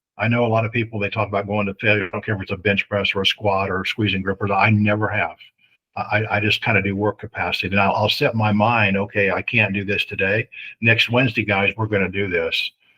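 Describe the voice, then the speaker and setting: A man with an American accent talks very fast in a fairly low voice. His tone is bright and sharp, and his intonation is flat and monotone. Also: quiet background. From US Midwest, Greenfield, Indiana. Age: 60s. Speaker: strongman and strength coach. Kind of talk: casual interview chat.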